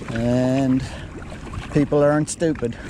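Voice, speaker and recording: Fairly even intonation in an Australian accent, with noticeable background noise. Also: man. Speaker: kayak fishing vlogger. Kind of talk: casual commentary while fishing. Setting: outdoors on a kayak at sea. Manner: soft-spoken.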